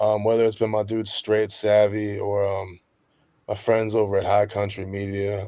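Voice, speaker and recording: A dark, mellow voice moves at a moderate pace in a very clean recording with a silent background. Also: man. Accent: American. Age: 30s. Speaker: rapper and musician. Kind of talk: interview conversation. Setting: livestream podcast. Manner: casual, lots of fillers.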